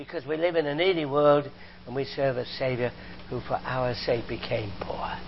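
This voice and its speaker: Moderately paced, a man talks in an animated tone. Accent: British. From Britain. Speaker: visiting preacher; former chemistry professor. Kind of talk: sermon. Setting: church. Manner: animated, humorous.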